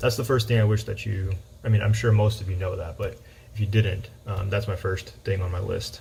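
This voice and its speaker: Somewhat breathy, a man speaks at a fairly low pitch with fairly even intonation. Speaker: high school math teacher. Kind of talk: personal talk to students. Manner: monotone; halting with fillers.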